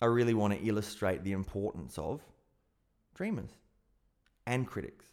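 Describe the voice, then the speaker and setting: With an Australian accent, a man speaks at a moderate pace in a fairly low pitch, taking long, frequent pauses. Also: ordinary pitch variation. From South Australia. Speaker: podcast host, hypnotist and personal development coach. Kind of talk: solo podcast monologue.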